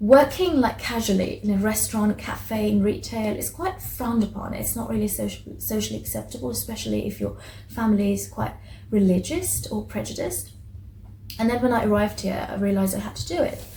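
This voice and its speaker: Room echo can be heard around this woman's voice. Her pace is fairly quick. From Iran. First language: Persian. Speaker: book vlogger. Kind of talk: casual book review. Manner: halting, many fillers and restarts.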